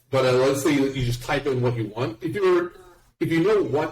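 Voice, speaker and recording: A somewhat breathy man's voice with an American accent, a medium pitch and a moderate pace. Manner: blurs words together.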